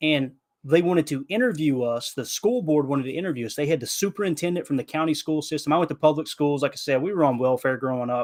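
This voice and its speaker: Speaking with a Southern US accent, a man talks at a very fast pace with hardly any pauses. His pitch is fairly high, with ordinary variation. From Kentucky. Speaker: podcast guest, football commentator. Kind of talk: casual podcast chat. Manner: animated.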